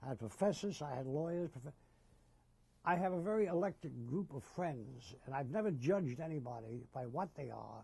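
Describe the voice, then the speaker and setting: In an American accent, a man with a fairly high pitch and a dark, mellow tone speaks at a moderate pace, somewhat breathy and with lively intonation. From US Northeast, Jersey City, New Jersey. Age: 80s+. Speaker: war veteran. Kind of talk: oral history interview. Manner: halting, with repetitions.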